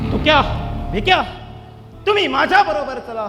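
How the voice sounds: Doing a put-on character voice, a man talks at a moderate pace with an extremely high pitch and a bright, sharp tone over faint background music. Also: lively intonation.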